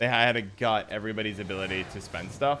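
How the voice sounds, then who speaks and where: A bright, sharp tone at a very fast pace. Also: man. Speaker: gaming streamer. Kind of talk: live stream commentary with chat. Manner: casual, conversational.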